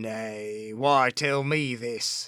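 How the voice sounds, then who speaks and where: A man growls in a put-on character voice. His pitch is medium and his intonation fairly even. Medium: read story. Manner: cringing, snarling.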